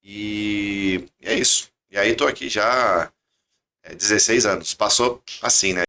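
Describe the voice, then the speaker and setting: A man speaks at a very slow pace in a fairly low pitch. His tone is bright and sharp, with fairly even intonation. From southern Minas Gerais, Brazil (Itajubá). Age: 30s. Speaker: engineer and credit company founder. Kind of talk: podcast interview.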